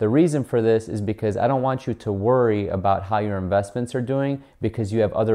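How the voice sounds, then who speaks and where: A man talks at a fairly quick pace and a fairly low pitch, with a dark, mellow tone and ordinary pitch variation. The background is quiet. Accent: American. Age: 30s. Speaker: personal finance YouTuber. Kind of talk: educational video monologue. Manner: casual, filler words like so and um. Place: home room.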